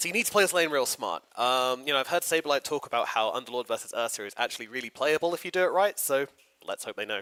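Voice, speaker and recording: A man with a British accent talks at a very fast pace in a fairly high, bright, sharp voice, with lively intonation and an energetic tone, in a dry, close sound with no echo. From Britain. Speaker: esports commentator. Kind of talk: live commentary. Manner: casual, energetic.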